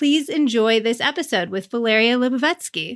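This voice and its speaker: Against a quiet background, a plain, everyday voice proceeds at a moderate pace. Its pitch varies an ordinary amount. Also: woman. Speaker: podcast host and cookbook author. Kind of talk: casual interview.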